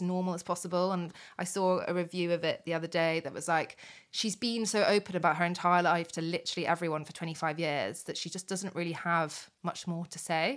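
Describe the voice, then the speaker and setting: On a very clean recording with a silent background, a woman with a British accent speaks fairly quickly at a medium pitch. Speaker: podcast co-host. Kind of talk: casual chat. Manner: chatty, animated.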